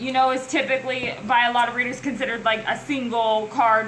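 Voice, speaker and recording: A woman's raised, projected voice carries audible room echo. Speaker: tarot reader. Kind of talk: tarot reading monologue. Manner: halting; animated.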